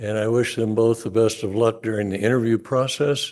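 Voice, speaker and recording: This man's pitch sits fairly low. He talks at a moderate pace with fairly even intonation. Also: quiet background. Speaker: public commenter at council meeting. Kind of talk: public comment. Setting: council chamber with PA system. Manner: clearly enunciated.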